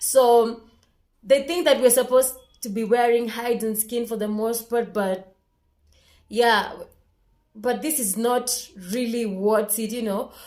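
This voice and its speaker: Speaking with a Kenyan accent, a woman has a fairly high pitch. She goes at a fairly slow pace with long, frequent pauses. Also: fairly even intonation. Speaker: vlogger. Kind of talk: casual vlog monologue.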